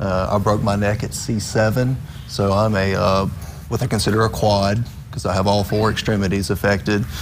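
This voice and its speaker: A man with a Southern US accent talks at a moderate pace in a fairly low pitch and a fairly even intonation. Noticeable background noise and audible room echo fill the recording. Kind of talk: TV interview.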